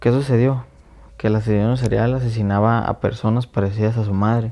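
A man with a Mexican accent talks at a moderate pace with a medium pitch. His tone is dark and mellow, and his intonation monotone and flat. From Mexico. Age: 20s. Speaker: podcast host. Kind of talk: casual monologue. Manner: halting.

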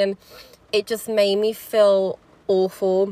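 A woman with a slight Birmingham accent speaks at a medium pitch in a bright, sharp tone. The recording is very clean, with a silent background and a dry, close sound with no echo. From Birmingham, England. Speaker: podcast host. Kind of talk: solo podcast monologue. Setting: in a car, rain in background. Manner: casual, chatty, hesitant with fillers.

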